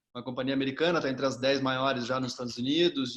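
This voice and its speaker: Talking at a very fast pace, a man speaks with a southern Brazilian accent. His pitch is medium and his intonation fairly even. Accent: gaúcho. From southern Brazil, Rio Grande do Sul. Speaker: executive search firm head. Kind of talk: casual interview.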